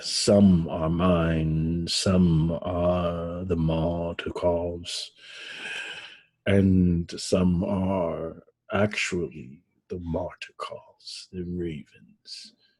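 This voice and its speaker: A man puts on a character voice, very deep and low, and speaks at a very slow pace. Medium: actual play. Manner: unnerving, imperious.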